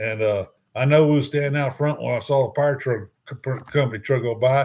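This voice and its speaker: A man with a Texan accent speaks at a fairly quick pace with a medium pitch. His voice is somewhat breathy, and his intonation is fairly even. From Houston, Texas. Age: 60s. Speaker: cruise vlogger. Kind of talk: live stream chat. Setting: live stream. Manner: halting.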